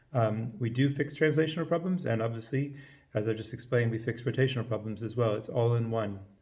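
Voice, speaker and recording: A man talks at a very fast pace in a somewhat breathy voice. Audible room echo surrounds him. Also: medium pitch for a man, ordinary pitch variation. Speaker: chiropractor teaching a technique. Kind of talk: lecture.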